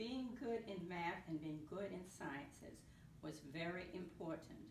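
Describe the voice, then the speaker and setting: There is audible room echo as a woman with an American accent talks at a very slow pace, her medium pitch rising and falling in lively intonation. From US South, New Orleans. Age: 70s. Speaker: retired NASA mathematician. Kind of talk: interview. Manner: halting, with repetitions.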